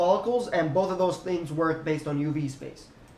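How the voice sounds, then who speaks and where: A man speaks at a high pitch with fairly even intonation. Audible room echo surrounds his voice. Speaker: 3D animation tutorial creator. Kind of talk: software tutorial. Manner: casual, fast-paced.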